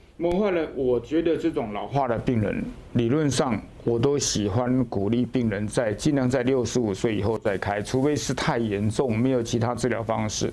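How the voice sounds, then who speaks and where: A man's medium-pitched voice with ordinary pitch variation at a moderate pace, over noticeable background noise. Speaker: orthopedic surgeon. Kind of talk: interview. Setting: hospital.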